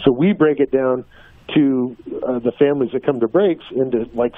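A man with a fairly high pitch talks at a moderate pace through noticeable background noise. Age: 50s. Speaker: drag racer and driving-safety program founder. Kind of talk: interview. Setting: phone call.

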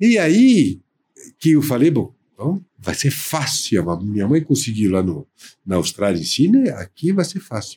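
A man with a French accent talks at a fairly slow pace, his pitch fairly high with very wide swings. His tone is dark and mellow and somewhat breathy. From France, near Paris. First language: French (speaking Portuguese). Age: 60s. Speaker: baker and entrepreneur. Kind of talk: interview.

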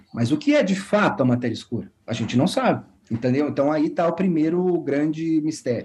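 A man speaks at a very fast pace in a fairly high pitch. His voice makes very wide pitch swings. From Brazil, São Paulo state (São Paulo city and Guaratinguetá). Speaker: physics professor. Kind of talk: interview, explaining science.

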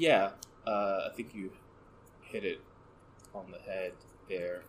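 A soft-spoken man talks slowly in a low voice with fairly even intonation.

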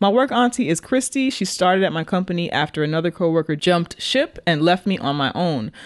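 A woman with a fairly low pitch talks at a fairly quick pace, with hardly any pauses. Her pitch swings very widely. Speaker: podcast host. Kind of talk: casual chat.

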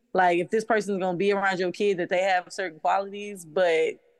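This woman has a medium pitch and an unremarkable speaking voice. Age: 30s. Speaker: single mother. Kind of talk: casual chat.

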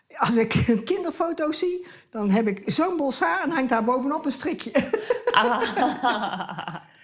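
A woman with a high pitch swings very widely up and down, over noticeable background noise. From Tilburg, Netherlands. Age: 70s. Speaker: retired neighbour, wife. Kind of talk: casual interview at home. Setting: living room at home.

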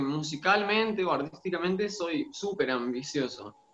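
A man with a high pitch speaks at a fairly slow pace with lively intonation against noticeable background noise. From Argentina, Santiago del Estero. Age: 30s. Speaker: singer-songwriter and music teacher. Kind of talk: interview.

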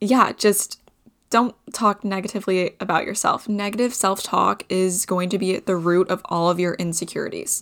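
A woman with a plain, everyday voice, medium pitch, fairly even intonation and a moderate pace, in a very clean recording with a silent background. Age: 20s. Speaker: podcast co-host. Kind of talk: solo casual monologue.

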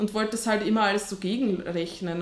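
A woman speaks at a fairly high pitch with fairly even intonation, over noticeable background noise. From Austria. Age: 30s. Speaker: online fitness coach and teacher. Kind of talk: casual interview.

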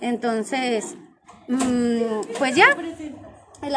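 A woman's voice with ordinary pitch variation comes through noticeable background noise. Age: 20s. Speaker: nail technician, podcast co-host. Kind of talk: casual chat.

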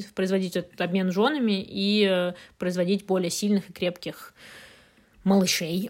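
A woman's medium-pitched voice at very even loudness, with fairly even intonation and long, frequent pauses, on a very clean recording with a silent background. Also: moderate pace. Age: 20s. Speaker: podcast co-host. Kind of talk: casual chat.

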